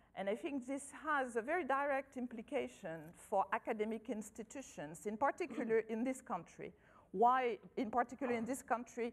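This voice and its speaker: A woman speaks with lively intonation at a high pitch. Her pace is moderate. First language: not English. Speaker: agricultural scientist. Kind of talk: conference talk. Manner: halting.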